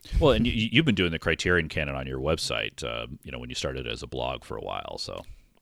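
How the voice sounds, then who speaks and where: On a very clean recording with a silent background, a man with a very deep, low pitch and vocal fry talks at a very fast pace with lively intonation and hardly any pauses. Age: 40s. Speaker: film podcast co-host. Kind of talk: casual chat.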